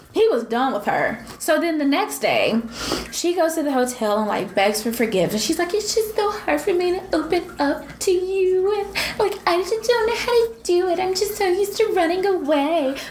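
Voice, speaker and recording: A woman with an American accent speaks at an extremely high pitch with very wide pitch swings over noticeable background noise. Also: moderate pace. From US South. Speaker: podcast co-host. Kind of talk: casual chat. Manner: animated.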